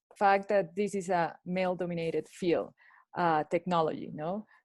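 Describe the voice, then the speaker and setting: With a Spanish accent and fairly even intonation, the voice sounds dry and close with no echo against a quiet background. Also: woman. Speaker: lawyer at a digital rights organization. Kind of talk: panel discussion. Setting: video call. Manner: halting.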